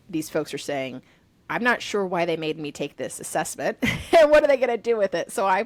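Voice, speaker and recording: At a very fast pace, a woman speaks with an American accent. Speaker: podcast host and strengths coach. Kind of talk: casual interview. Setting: video call.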